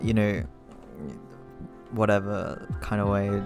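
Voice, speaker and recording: Music plays in the background as a man talks at a fairly slow pace and a fairly low pitch. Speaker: cartoonist. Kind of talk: casual talk to camera. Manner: casual, hesitant.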